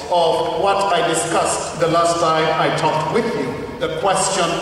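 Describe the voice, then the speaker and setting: A man's high voice, monotone and flat, at a fairly slow pace with very even loudness, strong room echo and light background noise. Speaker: preacher. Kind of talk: sermon. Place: church.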